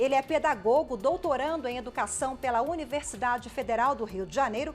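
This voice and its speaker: Over music in the background, the speaker uses lively intonation at a moderate pace. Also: woman. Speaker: TV journalist. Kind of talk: TV interview host introduction.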